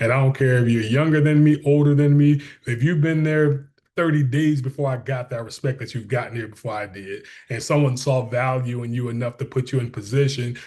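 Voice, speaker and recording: A man with a dark, mellow, somewhat breathy tone speaks at a fairly quick pace over a quiet background. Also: medium pitch for a man. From Detroit, Michigan. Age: 40s. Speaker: school superintendent. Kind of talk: interview. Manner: animated.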